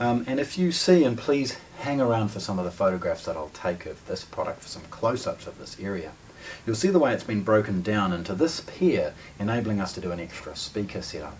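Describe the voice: This man talks at a fairly quick pace with a fairly low pitch and lively intonation. His tone is slightly mellow, and faint background noise can be heard.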